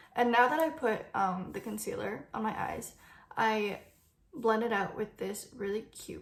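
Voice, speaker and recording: Over audible room echo, a woman speaks very slowly at a fairly high pitch with vocal fry. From Vancouver, Canada. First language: Cantonese. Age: 20s. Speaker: beauty YouTuber. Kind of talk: makeup tutorial with Q&A. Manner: casual, chatty.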